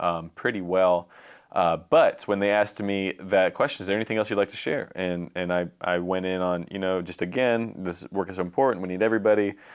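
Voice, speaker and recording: A man talks at a fairly quick pace, with hardly any pauses. His intonation stays fairly even. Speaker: podcast co-host; violence reduction official. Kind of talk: casual chat.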